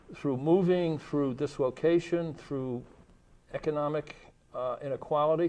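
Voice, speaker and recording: A man with an ordinary speaking voice, fairly high pitch and fairly even intonation at a fairly slow pace. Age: 60s. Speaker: faith leader. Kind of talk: panel discussion.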